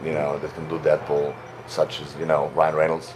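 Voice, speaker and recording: Noticeable background noise sits behind a man with a Slavic accent. His very deep, low voice stays monotone, with flat intonation. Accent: Slavic accent, a little softer than Russian. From Slavic country (Serbia). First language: Serbian (Slavic). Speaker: actor and voice actor. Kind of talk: interview. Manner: halting, many fillers.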